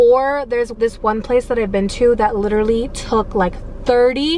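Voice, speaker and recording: With light background noise but a dry sound with no echo, a woman speaks at a moderate pace in a high pitch with fairly even intonation. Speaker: delivery driver vlogger. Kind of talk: casual vlog chat. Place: car. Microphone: phone near.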